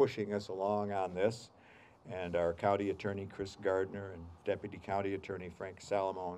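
Over light background noise, a man speaks in a fairly low pitch with a dark, mellow tone and monotone, flat intonation. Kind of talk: ceremony speech. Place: street. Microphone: podium.

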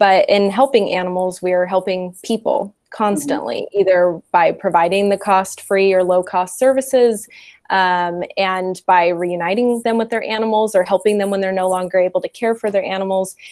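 The woman's delivery is moderately paced, and her pitch varies in an ordinary way. Nothing much stirs behind her. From US, California Central Valley (Modesto); California. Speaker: animal shelter program and development manager. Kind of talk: interview. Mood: calm, friendly. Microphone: earbuds.

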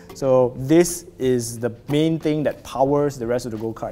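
The man keeps a moderate pace. His intonation is lively. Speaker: product reviewer. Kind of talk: unboxing commentary. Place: office. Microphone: lapel.

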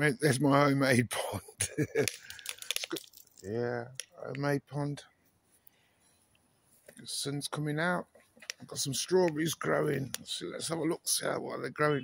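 Speaking fairly slowly with long, frequent pauses and big swings in loudness, a man shows ordinary pitch variation over light background noise in a dry sound with no echo. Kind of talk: casual vlog chat. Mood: relaxed, pleased. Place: garden. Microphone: phone near.

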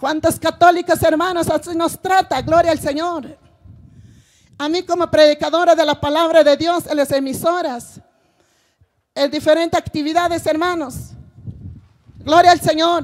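A woman talks at an extremely high pitch, flat and monotone, at a fairly slow pace. She leaves long, frequent pauses against a quiet background. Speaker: preacher. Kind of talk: sermon. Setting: church with congregation. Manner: repeats phrases, rhetorical questions to congregation. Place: stage. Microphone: handheld.

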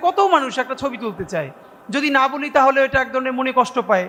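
A man speaks in a raised, projected voice at an extremely high pitch, with ordinary pitch variation and noticeable background noise. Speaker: political activist. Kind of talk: political speech.

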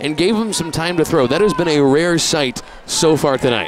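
A man talks at a fairly quick pace with music in the background. The sound is dry with no echo. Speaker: color commentator. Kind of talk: sports analysis commentary. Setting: broadcast booth at a stadium. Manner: analytical, conversational. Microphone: headset.

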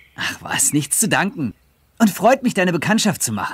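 A man does a put-on character voice, high-pitched with big pitch swings. The tone is fairly bright with a slightly husky edge. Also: moderate pace.

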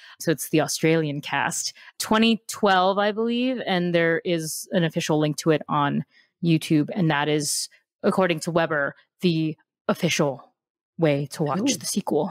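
A woman with an American accent has an unremarkable speaking voice, fairly low in pitch with ordinary variation, at a moderate pace. The recording is very clean, dry and close, with no echo and a silent background. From US Midwest, Chicago. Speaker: podcast host. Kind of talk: casual chat.

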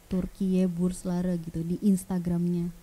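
A woman's somewhat breathy voice, dark and mellow in tone. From Balikpapan, East Kalimantan, Indonesia; East Kalimantan, Indonesia. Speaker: vocational school teacher. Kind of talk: casual interview. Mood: friendly, relaxed. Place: studio. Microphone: studio mic.

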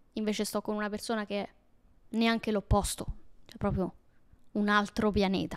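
Over a quiet background, a woman talks at a moderate pace in a flat monotone, leaving long, frequent pauses. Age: 20s. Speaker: YouTuber. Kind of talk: casual personal storytelling monologue. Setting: at home alone. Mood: intimate, reflective, somewhat emotional. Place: home room. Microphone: handheld.

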